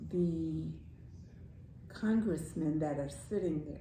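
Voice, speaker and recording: Noticeable background noise sits behind a woman talking at a very slow pace. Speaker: grandmother, storyteller. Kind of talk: casual talk about politics and society.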